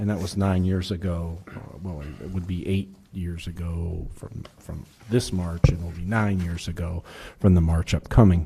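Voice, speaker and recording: At a moderate pace, the voice has a dark, mellow tone, fairly even intonation and big swings in loudness. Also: man, very deep, low pitch for a man. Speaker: city administrator. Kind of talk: council meeting report. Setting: city council meeting. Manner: hesitant, many fillers. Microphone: muffled, too close to mic.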